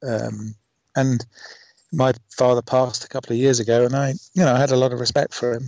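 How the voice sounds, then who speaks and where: The man's voice sits at a medium pitch with a dark, mellow tone and a fairly quick pace. The sound is dry and close, with no echo. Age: 50s. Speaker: IVF father. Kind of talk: interview. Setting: Skype call.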